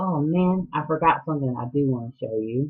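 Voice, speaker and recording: A woman with a Southern US accent and a very deep, low pitch. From US South, Atlanta, Georgia. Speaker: knitting podcaster. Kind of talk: casual chat. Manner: hesitant, many ums.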